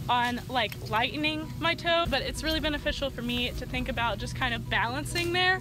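Recorded with noticeable background noise, a woman's voice has a dry sound with no echo. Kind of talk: casual vlog chat. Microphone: phone near.

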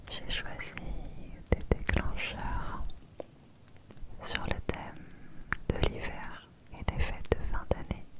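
A soft-spoken woman whispers at a very slow pace, leaving long, frequent pauses. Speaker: ASMR creator. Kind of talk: ASMR whisper. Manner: soft close-mic whisper. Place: home room. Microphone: studio mic.

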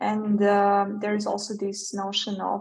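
The speaker has a Serbian accent and a somewhat breathy sound. The pace is moderate and the background is quiet. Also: woman. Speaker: developer advocate; presenter. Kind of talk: technical talk. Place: home room. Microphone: webcam.

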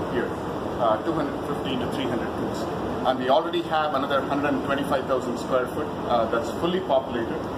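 A fairly quick delivery with ordinary pitch variation over loud background noise. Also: man. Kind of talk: tour guide explanation. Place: factory.

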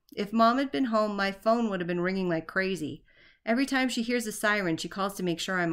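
An unforced reading voice of ordinary pitch variation

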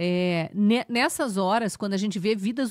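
With a Brazilian accent, a woman of medium pitch speaks at a fairly slow pace with ordinary pitch variation, in a dry sound with no echo and a quiet background. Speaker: news commentator. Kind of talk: angry rant. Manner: indignant, impassioned, accusatory; halting, stumbling over words when agitated. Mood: indignant, earnest. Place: studio. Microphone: studio mic.

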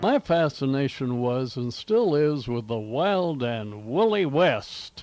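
Over music in the background, a man with a fairly high pitch speaks very slowly with hardly any pauses and very wide pitch swings, in a dry sound with no echo. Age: 80s+. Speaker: radio broadcaster. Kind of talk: old time radio host intro. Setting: home recording on cassette tape. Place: home room. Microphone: old recording.

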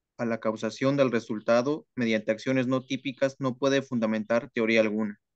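A man with a plain, everyday voice speaks at a moderate pace with fairly even intonation, in a dry, close sound with no echo and a quiet background. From Mexico, Oaxaca. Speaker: law student. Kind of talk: reading aloud. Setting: video call.

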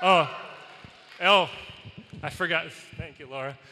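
A man speaks with fairly even intonation. Light background noise can be heard. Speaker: college volleyball head coach. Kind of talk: acceptance speech. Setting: arena with live audience. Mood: grateful, warm. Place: hall. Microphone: handheld.

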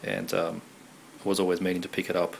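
Delivery is fast, with vocal fry. There is little pitch movement. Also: man, low pitch for a man.

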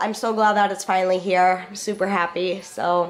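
The voice is nasal, with little pitch movement. It moves at a moderate pace over faint background noise. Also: woman, medium pitch for a woman.

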